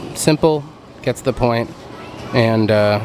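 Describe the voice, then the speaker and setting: Over music in the background, a man speaks at a moderate pace with a medium pitch. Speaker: theme park merch vlogger. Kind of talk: casual vlog tour.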